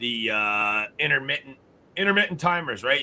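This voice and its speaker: This man talks at a fairly quick pace with lively intonation and a normal speaking voice. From Canada. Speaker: grow system company founder and podcast host. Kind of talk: casual chat.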